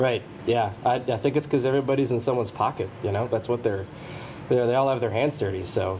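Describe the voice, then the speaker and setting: Noticeable background noise sits under a man who speaks at a very fast pace and medium pitch, with very even loudness and ordinary pitch variation. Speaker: social media personality. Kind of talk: casual chat.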